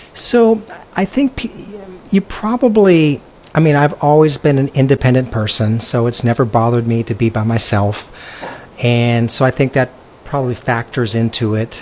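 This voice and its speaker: With a West Coast US accent, a man speaks at a moderate pace and medium pitch with lively intonation against noticeable background noise. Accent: General American (West Coast). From California. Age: 60s. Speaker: expat interview guest, former realtor. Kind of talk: casual interview chat.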